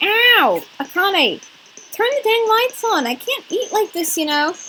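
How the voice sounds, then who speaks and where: A woman's put-on character voice, extremely high in pitch, fairly slow, with very wide pitch swings. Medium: game stream.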